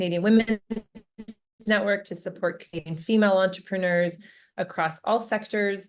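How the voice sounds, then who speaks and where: A woman with an ordinary speaking voice talks at a moderate pace and medium pitch with fairly even intonation. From Canada, Alberta. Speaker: founder of an entrepreneur network, panelist. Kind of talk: panel introduction.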